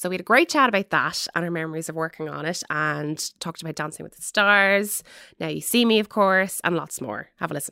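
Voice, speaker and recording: A woman's bright, sharp, fairly low voice in a Dublin accent, with lively intonation and a fairly quick pace, on a very clean recording with a silent background. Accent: Dublin Irish. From Ireland, Dublin. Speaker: entertainment podcast host. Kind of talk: scripted intro. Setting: studio.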